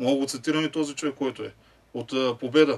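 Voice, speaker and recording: Very fast speech from a man, his intonation fairly even. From Bulgaria. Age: 40s. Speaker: football fan; guest. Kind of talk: casual chat. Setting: studio. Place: studio. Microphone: studio mic.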